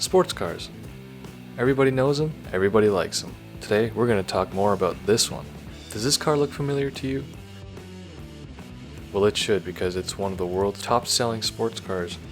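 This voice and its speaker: Over music in the background, a man talks fairly quickly in a bored tone at a fairly low pitch. His intonation is lively, broken by long, frequent pauses. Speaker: car video narrator. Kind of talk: casual comedic fact narration. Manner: sleepy, bored.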